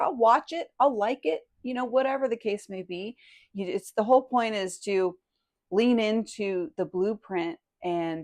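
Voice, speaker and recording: An ordinary speaking voice moves at a fairly slow pace with lively intonation against a quiet background. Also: woman. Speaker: podcast host. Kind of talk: podcast interview.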